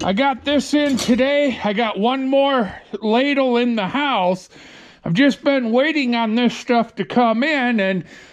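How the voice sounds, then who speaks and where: A man speaks at a fairly slow pace with an extremely high pitch and ordinary pitch variation. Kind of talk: casual vlog chat. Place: garage. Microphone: phone near.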